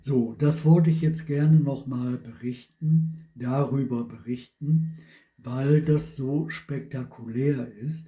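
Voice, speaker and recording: At a very slow pace, the voice sounds somewhat breathy, with a dark, mellow tone and fairly even intonation. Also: man, fairly high pitch for a man. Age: 70s. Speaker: vlogger. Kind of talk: personal testimony monologue.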